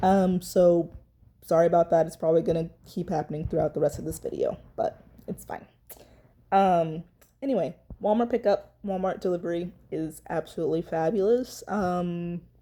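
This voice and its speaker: A woman talks at a moderate pace in a fairly low voice with a dark, mellow tone. Her pitch varies in an ordinary way, while her loudness swings widely. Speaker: vlogger, night-shift worker. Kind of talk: casual vlog chat. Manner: hesitant, many ums.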